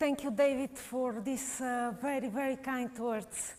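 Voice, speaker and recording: A woman with a Bulgarian accent speaks at a fairly slow pace in a high voice. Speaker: painter. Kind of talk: live painting demonstration. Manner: halting, many fillers.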